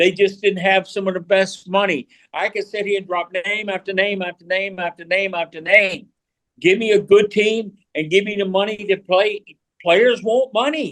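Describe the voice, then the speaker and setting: In a dry, close recording with no echo, a man with a high pitch keeps his intonation fairly even. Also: moderate pace. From small-town North Carolina, US South. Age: 70s. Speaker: retired college baseball coach. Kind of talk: podcast conversation. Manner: halting, repeats words; long-winded.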